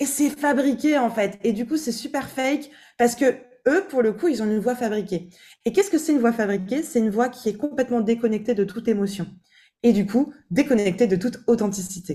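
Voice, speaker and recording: Speaking at a fairly quick pace, a woman uses a dark, mellow tone, fairly high pitch and lively intonation. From eastern France. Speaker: vocal coach. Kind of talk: casual chat.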